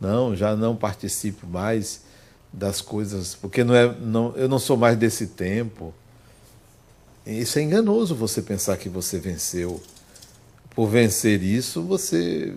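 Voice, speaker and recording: A man's dark, mellow voice at a fairly low pitch, very slow in pace with ordinary pitch variation, and audible room echo. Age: 60s. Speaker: spiritist speaker and psychologist. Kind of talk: lecture.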